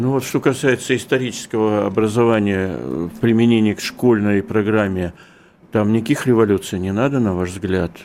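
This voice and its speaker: In a plain, everyday voice, a man with a fairly low pitch speaks at a moderate pace with ordinary pitch variation. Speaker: radio interviewer, editor-in-chief. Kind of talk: radio interview.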